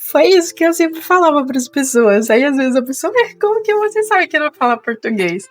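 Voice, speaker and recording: A woman's high voice with very wide pitch swings, at a fairly quick pace with hardly any pauses, over noticeable background noise. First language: not Portuguese (speaking Portuguese). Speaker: vlogger. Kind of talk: casual vlog storytelling. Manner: conversational, with hesitations.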